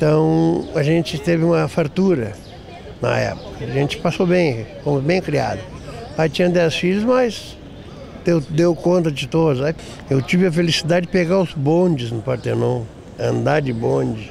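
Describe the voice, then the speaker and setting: A man's fairly high voice, lively in intonation and fairly slow in pace, over noticeable background noise. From Porto Alegre, Brazil. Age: 60s. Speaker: elderly interviewee. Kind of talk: life story interview.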